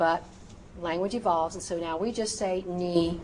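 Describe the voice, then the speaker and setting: A woman speaks at a fairly low pitch and a fairly slow pace, with fairly even intonation. Audible room echo and noticeable background noise are present. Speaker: medical terminology instructor. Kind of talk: recorded lecture. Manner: frequent filler ums; precise, deliberate pronunciation.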